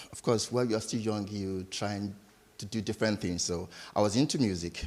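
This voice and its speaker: A man with a Nigerian accent speaks at a fairly low pitch with ordinary pitch variation. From Nigeria, Lagos. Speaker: entrepreneur. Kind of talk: interview.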